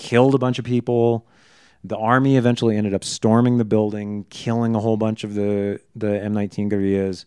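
In a quiet background, a man with an American accent talks at a fairly quick pace in a monotone, flat intonation. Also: fairly low pitch for a man. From US. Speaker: podcast host. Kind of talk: casual chat.

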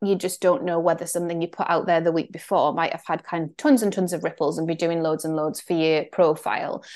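Against a quiet background, a woman talks with a North East England accent. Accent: Northeast English (Geordie-area). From northeast England. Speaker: Substack creator and mentor. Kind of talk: solo podcast monologue update. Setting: screen share recording, also put on YouTube. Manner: casual, conversational, reflective.

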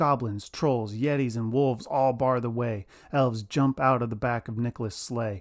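With fairly even intonation, this unforced reading voice moves through the text.

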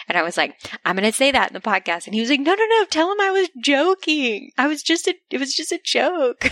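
Fairly quick and dry, with a close sound and no echo, a woman's high voice leaps through very wide pitch swings. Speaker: podcast host. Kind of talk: casual chat. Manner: soft-spoken.

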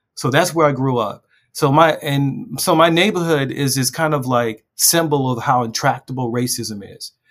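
A man with an American accent has a normal speaking voice and a fairly high pitch. He keeps a moderate pace with ordinary pitch variation. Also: hardly any pauses. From West Baltimore, US. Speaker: journalist and memoir author. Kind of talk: interview.

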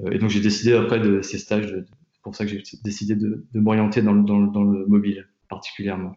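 A man with a fairly low pitch and monotone, flat intonation at a fairly quick pace. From France, Tours. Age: 20s. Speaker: product designer. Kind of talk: interview. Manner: halting, many fillers and repetitions.

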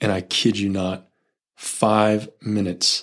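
A man with a Californian accent and a fairly low pitch. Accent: Californian American. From US West Coast, Silicon Valley. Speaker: spacecraft thermal engineer and youth group leader. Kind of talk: casual chat.

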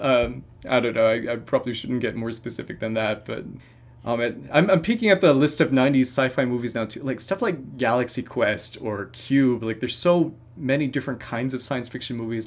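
Here a man has a plain, everyday voice, medium in pitch with ordinary pitch variation. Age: 30s. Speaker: film critic. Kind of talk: casual chat.

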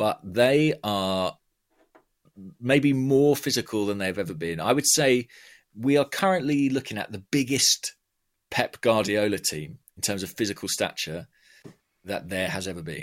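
In a southern English accent, a man of medium pitch speaks at a fairly slow pace with lively intonation and long, frequent pauses, in a dry, close sound with no echo. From southern England, Watford. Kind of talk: casual chat.

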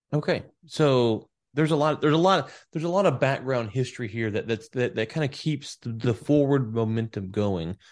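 With an ordinary speaking voice, a man talks at a fairly quick pace and medium pitch with lively intonation over a quiet background. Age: 30s. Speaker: podcast host. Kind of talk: interview.

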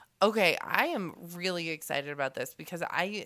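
This woman's voice is husky. Its tone is bright and sharp. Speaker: podcast host, farmer.

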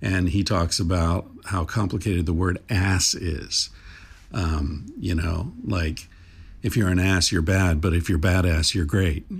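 Relaxed and somewhat breathy, a man speaks fairly slowly with a very deep, low pitch, very even loudness and fairly even intonation. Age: 60s. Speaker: podcast host. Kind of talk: casual conversation. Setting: remote call. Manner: relaxed, uses many fillers.

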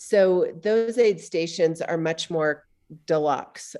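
A woman speaks at a fairly slow pace with ordinary pitch variation and an unremarkable speaking voice against a quiet background. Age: 50s. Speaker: trail running coach and writer. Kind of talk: casual interview.

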